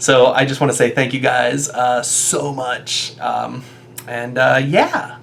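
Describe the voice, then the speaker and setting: Against noticeable background noise and audible room echo, a man speaks at a medium pitch in a monotone, flat intonation at a very slow pace. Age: 30s. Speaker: YouTuber and stage actor. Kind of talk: casual vlog monologue. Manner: many fillers and hesitations; loud.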